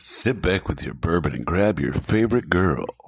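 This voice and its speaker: A man uses a put-on character voice, husky and very deep. He speaks at a moderate pace. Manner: smooth, seductive.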